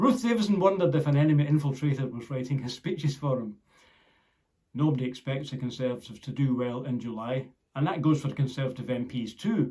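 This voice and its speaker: A very fast man's voice with a Scottish accent, medium in pitch, somewhat breathy, with a dark, mellow tone and ordinary pitch variation. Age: 60s. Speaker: political commentator. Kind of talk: scripted narration.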